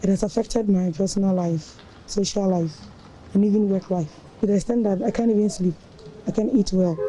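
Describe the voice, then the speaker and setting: Her Ghanaian accent clear, the woman talks at a fairly quick pace with very even loudness, ordinary pitch variation and long, frequent pauses. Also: medium pitch for a woman. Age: 20s. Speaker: national service worker. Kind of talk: news interview testimony.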